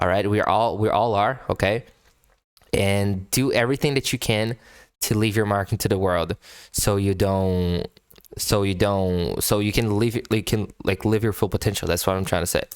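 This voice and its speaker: A man with a non-native accent speaks at a moderate pace in a fairly low pitch, keeping his intonation fairly even and his loudness very even. The recording is very clean, with a silent background. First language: not English. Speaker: music reaction youtuber. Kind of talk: casual commentary. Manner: halting, many repetitions.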